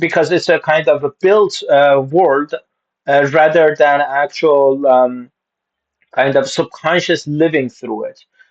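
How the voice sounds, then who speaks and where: Speaking at a fairly slow pace, a man with a fairly high pitch keeps his intonation fairly even while his loudness swings a lot. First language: Turkish and Farsi. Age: 20s. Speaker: manga reaction youtuber. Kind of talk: casual reaction commentary. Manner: halting, many fillers.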